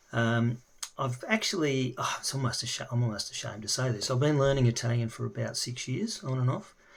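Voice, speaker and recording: Noticeable background noise sits under a man with an Australian accent and a medium pitch. He talks at a fairly quick pace with ordinary pitch variation. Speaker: language learner. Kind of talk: casual video introduction. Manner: halting, many fillers.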